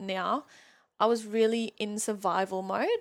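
A woman with a German accent speaks in an animated tone at a fairly high pitch with ordinary variation. The recording is very clean, with a silent background. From Germany. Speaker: mindset coach. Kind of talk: casual interview. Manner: animated, laughs often.

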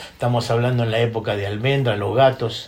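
A man with a Rioplatense accent. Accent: Rioplatense Spanish (porteño). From Buenos Aires, Argentina. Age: 60s. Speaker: drummer. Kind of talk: interview. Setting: his home studio.

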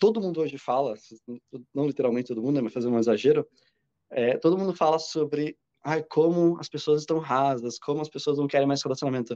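Very fast speech in a dark, mellow tone with ordinary pitch variation. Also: man, fairly high pitch for a man. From Brazil, Curitiba. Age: 30s. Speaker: social media creator. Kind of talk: casual chat.

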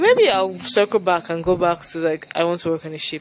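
Over noticeable background noise, a woman with a slight Nigerian accent talks at a fairly quick pace, her fairly low pitch kept fairly even. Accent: light, polished Nigerian English. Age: 20s. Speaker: solo podcaster. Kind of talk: casual rambling monologue. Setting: home recording with street noise. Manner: rambling, disjointed.

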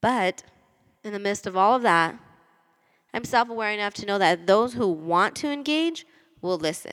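An animated tone and lively intonation, broken by long, frequent pauses. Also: woman, medium pitch for a woman, moderate pace. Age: 20s. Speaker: podcast host. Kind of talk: personal monologue. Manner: talkative.

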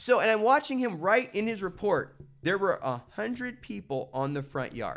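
Very wide pitch swings at a moderate pace, in an American accent. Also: man, high pitch for a man. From central California. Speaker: artist and broadcaster. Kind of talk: casual chat.

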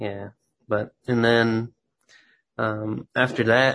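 Bright and sharp in tone, a man talks with monotone, flat intonation. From Texas. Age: 20s. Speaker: graphic designer. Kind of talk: interview. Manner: halting, many fillers.

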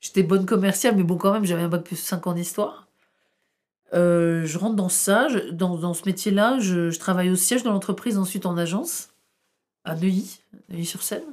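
In a very clean recording with a silent background, a woman at medium pitch speaks at a moderate pace with fairly even intonation and long, frequent pauses. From northern France, Tourcoing. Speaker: historian. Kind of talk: interview.

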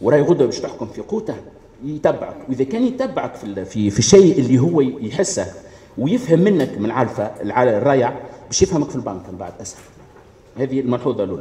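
The pitch swings very widely and the loudness rises and falls a lot. The pace is fairly quick. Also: man, medium pitch for a man. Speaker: pharmacist. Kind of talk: audience contribution at public meeting.

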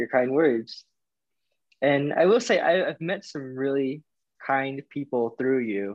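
Using an unremarkable speaking voice, a man with an American accent talks at a fairly slow pace, medium in pitch with ordinary pitch variation. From US South, Florida and Alabama. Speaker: podcast guest, friend of host. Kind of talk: casual chat.

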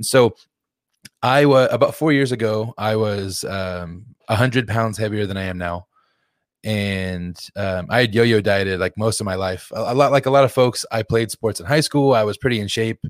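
A man with a normal speaking voice talks at a moderate pace, his pitch fairly low and its variation ordinary. The recording is very clean, with a silent background. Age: 30s. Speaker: behavior analyst, health coach. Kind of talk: casual interview chat.

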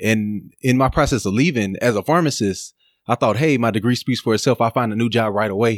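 An unremarkable speaking voice from a man with an American accent, medium pitch, ordinary pitch variation, very even loudness and a fairly quick pace, on a very clean recording with a silent background. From Texas, Dallas. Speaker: pharmacist. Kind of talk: casual interview.

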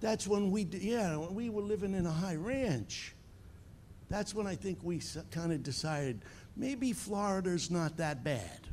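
A man talks with lively intonation and an animated, passionate tone in a high voice. His pauses are long and frequent. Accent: slight Long Island. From Long Island, New York. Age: 70s. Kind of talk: sermon. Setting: church with live audience and online viewers. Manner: animated, passionate, humorous.

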